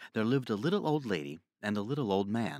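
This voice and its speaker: The very clean recording, silent in the background and dry and close with no echo, captures a man speaking fairly quickly at a fairly low pitch. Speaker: storyteller. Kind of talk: children's story narration.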